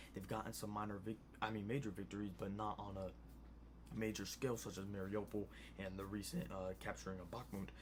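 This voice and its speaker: A quiet man at a fairly low pitch, with ordinary pitch variation, a very fast pace and audible room echo. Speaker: news commentary youtuber. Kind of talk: casual news commentary. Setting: home at night. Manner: quiet, low volume; hesitant, many fillers.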